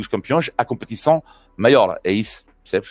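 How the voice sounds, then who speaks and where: Delivered at a very fast pace in a French accent, the tone is animated. The sound is dry and close, with no echo. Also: man. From France. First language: French (speaking Portuguese). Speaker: cycling commentator. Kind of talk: casual chat. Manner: halting.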